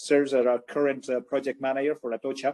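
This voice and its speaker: With a Spanish accent, a man talks at a fairly high pitch in a dark, mellow tone, the sound dry and close with no echo. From Spain. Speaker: mining company president. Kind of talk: interview.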